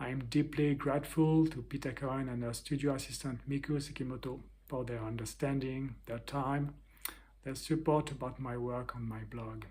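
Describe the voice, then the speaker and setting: A somewhat breathy man with a French accent speaks in a dark, mellow tone with monotone, flat intonation. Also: medium pitch for a man, moderate pace. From France. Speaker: artist and interviewer.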